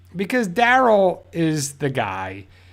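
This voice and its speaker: A man with a New Jersey accent on a very clean recording with a silent background. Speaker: YouTube fan show host. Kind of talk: live stream fan discussion. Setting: live stream. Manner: animated; halting.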